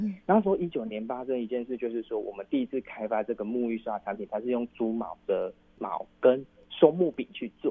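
A man in a Taiwanese accent, fairly quick, with lively intonation. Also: medium pitch for a man. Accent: Taiwanese Mandarin. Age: 40s. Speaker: entrepreneur. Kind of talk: interview.

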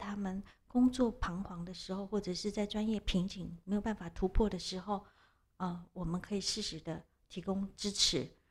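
Her voice somewhat breathy, a woman speaks at a medium pitch with fairly even intonation. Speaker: social welfare institution director. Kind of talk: interview. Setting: studio. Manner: hesitant, many fillers.

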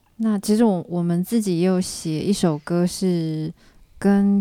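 In a Taiwanese accent, a woman speaks fairly slowly in a fairly low pitch, her dark, mellow tone carrying fairly even intonation on a very clean recording with a silent background. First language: Taiwanese Hokkien (speaking Chinese). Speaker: band lead singer and podcast host. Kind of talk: casual chat.

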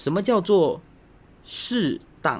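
A man's voice with vocal fry. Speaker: podcast host. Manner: casual, joking.

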